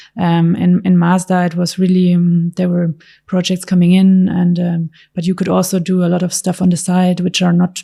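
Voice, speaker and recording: A woman's fairly low, somewhat breathy voice with a dark, mellow tone in a very clean recording against a silent background. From Germany, Stuttgart area. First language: German. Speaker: car designer. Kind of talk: interview answer. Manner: soft-spoken.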